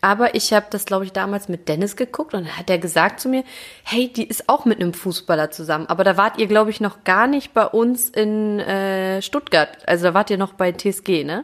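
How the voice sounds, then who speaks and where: Talking at a fairly quick pace with hardly any pauses, a woman with a plain, everyday voice keeps a medium pitch and ordinary pitch variation. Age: 30s. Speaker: footballer's wife and mother. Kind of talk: casual chat.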